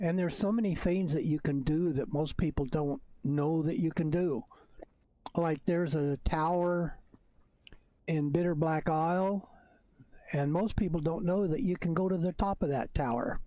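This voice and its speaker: A squeaky man's voice with a dark, mellow tone at a moderate pace, very even in loudness, with ordinary pitch variation and long, frequent pauses. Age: old. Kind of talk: gameplay commentary. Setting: at home, bedroom. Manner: halting.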